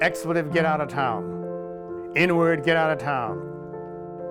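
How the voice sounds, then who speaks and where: Music plays in the background as a man with an American accent talks with very wide pitch swings. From Southern United States. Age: 80s+. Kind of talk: documentary interview answer.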